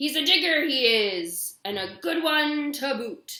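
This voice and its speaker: A woman uses a put-on character voice pitched high. She delivers it at a fairly slow pace. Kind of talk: gruff pirate talk.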